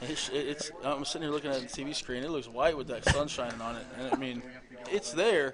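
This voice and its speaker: A man with a fairly high pitch talks at a fairly quick pace, using ordinary pitch variation. Background noise is noticeable. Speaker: high school coach and color commentator. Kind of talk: live sports commentary. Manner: trying to speak calmly.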